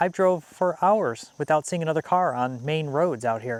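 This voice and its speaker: In an American accent, a man talks at a moderate pace with ordinary pitch variation. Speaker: homesteader and outdoors vlogger. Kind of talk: casual vlog talk to camera.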